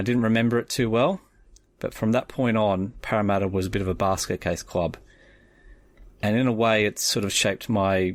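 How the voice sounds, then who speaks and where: In a strong Australian accent, a man talks fairly quickly with a fairly low pitch and fairly even intonation. The recording is very clean and the background silent. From Australia (Sydney area). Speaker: rugby league fan. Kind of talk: personal story.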